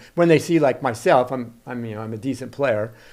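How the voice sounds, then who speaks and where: A man at medium pitch talking at a very fast pace. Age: 70s. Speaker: pickleball player. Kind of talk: casual interview chat. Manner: casual, with frequent fillers and restarts.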